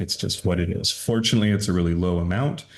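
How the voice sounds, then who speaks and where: A man with an American accent. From US Pacific Northwest, Seattle. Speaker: stem cell clinic co-founder. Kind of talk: podcast interview. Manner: casual, explanatory.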